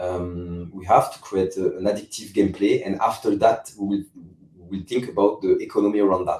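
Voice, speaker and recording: A man with a French accent, fairly quick in pace, with big swings in loudness. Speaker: game company CEO. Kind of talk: interview. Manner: halting, many repetitions and fillers.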